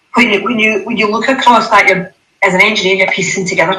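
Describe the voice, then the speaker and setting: With a Scottish accent, a woman speaks in a bright, sharp tone with fairly even intonation. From Scotland. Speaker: panel speaker on hydrogen and aviation. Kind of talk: panel discussion.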